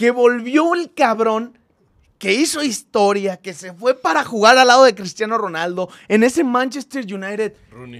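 Against a quiet background, the speech moves fairly slowly, with lively intonation and big swings in loudness. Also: man, high pitch for a man. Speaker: football fan podcast host. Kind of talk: casual chat. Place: studio. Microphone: studio mic.

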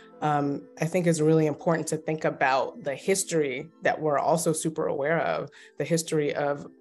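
Faint music plays in the background as a woman with an American accent and a very deep, low pitch speaks at a fairly quick pace with fairly even intonation. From Baltimore, Maryland. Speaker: clinical social worker and therapist. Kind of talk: interview answer. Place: home room. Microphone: phone near.

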